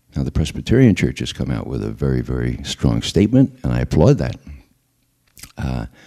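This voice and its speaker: Man with a New York accent, very deep and low, dark and mellow in tone, with vocal fry, lively intonation and a fairly quick pace. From US Northeast, the Bronx, New York. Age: 60s. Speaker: former intelligence analyst and activist. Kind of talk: public talk.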